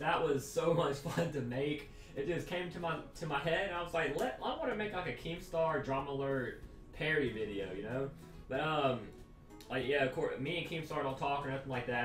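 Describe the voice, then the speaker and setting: A man talks at a fairly quick pace with ordinary pitch variation. Clear music plays in the background, and the room echo is audible. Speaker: youtuber. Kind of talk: casual vlog chat. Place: home room.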